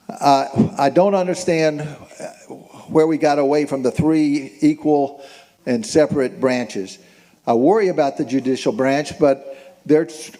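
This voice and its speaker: Over noticeable background noise, a man talks at a fairly slow pace in a fairly high voice with ordinary pitch variation. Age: 70s. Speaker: town hall attendee. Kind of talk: public comment at town hall. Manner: halting.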